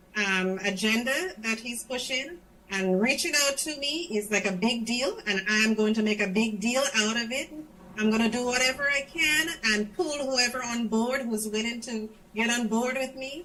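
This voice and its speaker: Against noticeable background noise, a woman with a Grenadian accent speaks at a moderate pace in a fairly high pitch. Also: ordinary pitch variation. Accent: Grenadian accent, retained. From Grenada. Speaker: schoolteacher in the diaspora. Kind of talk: interview on political party show. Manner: animated.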